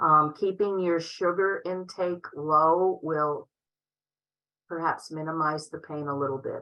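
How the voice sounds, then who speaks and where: A woman with a normal speaking voice talks at a fairly slow pace, her fairly low pitch held in fairly even intonation. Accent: American. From Upstate New York. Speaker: MS nurse presenter. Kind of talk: Q&A in online conference.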